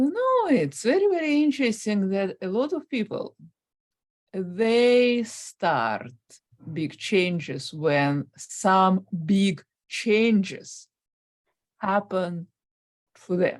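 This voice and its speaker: A woman with a Russian accent speaks at a very slow pace, leaving long, frequent pauses. Her medium-pitched voice swings very widely in pitch. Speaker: guest on stuttering channel. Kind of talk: interview. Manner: stutters.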